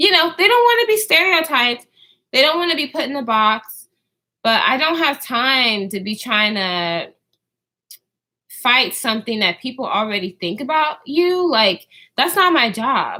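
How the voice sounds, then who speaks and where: A woman projects a raised, bright, sharp voice at a high pitch with very wide pitch swings. She keeps a moderate pace. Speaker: YouTuber vlogger. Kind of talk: casual livestream chat. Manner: halting with many fillers.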